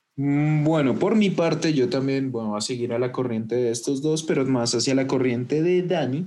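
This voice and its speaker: A man at medium pitch speaks at a moderate pace with ordinary pitch variation, very even loudness and hardly any pauses, over noticeable background noise. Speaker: podcast host. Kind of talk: casual chat. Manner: animated.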